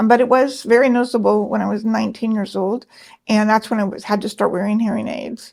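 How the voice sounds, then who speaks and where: A woman at a very fast pace, fairly high pitch and fairly even intonation. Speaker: design business owner and labyrinth facilitator. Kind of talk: interview. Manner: clear articulate speech despite deafness.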